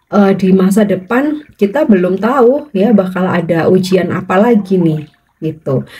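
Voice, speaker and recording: A woman with a dark, mellow, somewhat breathy tone speaks at a fairly slow pace with lively intonation and hardly any pauses. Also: medium pitch for a woman. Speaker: tarot reader. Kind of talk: tarot reading monologue. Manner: slow, unhurried.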